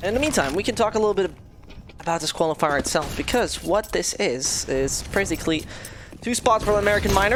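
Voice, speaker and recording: Noticeable background noise runs beneath a woman who talks at a fairly quick clip. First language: not English. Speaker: esports caster. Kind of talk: live commentary.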